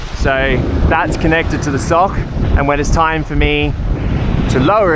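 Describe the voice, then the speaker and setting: A man, in a dry sound with no echo, over loud background noise. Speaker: solo sailor vlogger. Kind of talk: casual vlog tutorial. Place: boat. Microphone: phone near.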